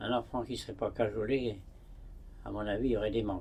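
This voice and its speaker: The voice is dark, mellow and somewhat breathy, moving at a moderate pace with ordinary pitch variation. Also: man. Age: 90s. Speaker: hermit monk. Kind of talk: interview. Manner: halting.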